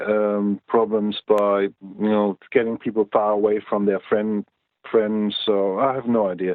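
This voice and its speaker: The speaker talks in a German accent at a fairly slow pace, with monotone, flat intonation. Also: man. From East Germany. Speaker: Cold War veteran. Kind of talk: interview answer.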